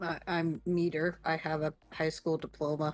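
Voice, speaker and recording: A man uses a put-on character voice, pitched fairly high and delivered at a moderate pace. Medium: actual play. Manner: shy, stumbling.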